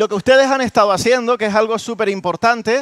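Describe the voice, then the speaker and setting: A man speaks in an animated tone with ordinary pitch variation. The sound is dry with no echo, and the background is quiet. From Canary Islands. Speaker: university professor and musicologist; university professor. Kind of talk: lecture workshop. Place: hall. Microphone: headset.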